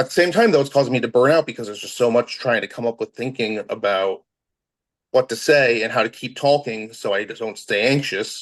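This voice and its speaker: Talking at a fairly quick pace, a man of medium pitch speaks with an American accent. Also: ordinary pitch variation. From US, Maryland. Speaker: social worker, podcast guest. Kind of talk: casual interview chat. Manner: fast-talking.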